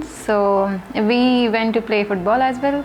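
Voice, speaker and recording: A woman's fairly high voice with fairly even intonation, set against noticeable background noise. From India. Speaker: game studio employee. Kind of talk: interview testimony.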